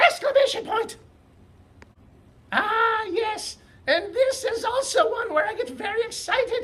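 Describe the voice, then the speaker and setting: Loud and extremely high-pitched, a cartoonish character voice speaks with long, frequent pauses. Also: moderate pace. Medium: puppet. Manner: loud, excited.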